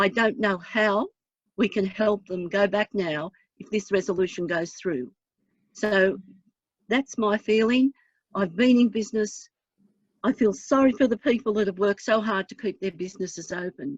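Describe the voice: A woman's husky, put-on character voice at medium pitch, moderate pace, with long, frequent pauses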